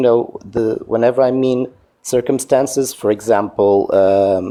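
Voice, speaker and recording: At a medium pitch and a fairly slow pace, a man speaks in a dark, mellow tone with fairly even intonation and very even loudness. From Portugal. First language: Portuguese. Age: 40s. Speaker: caller in a debate livestream. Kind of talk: debate. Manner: halting, searching for words.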